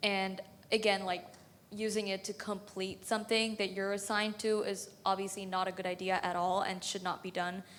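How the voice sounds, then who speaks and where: A woman with a non-native accent at medium pitch, moderate pace, and monotone, flat intonation. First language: not English. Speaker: student panelist. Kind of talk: panel discussion.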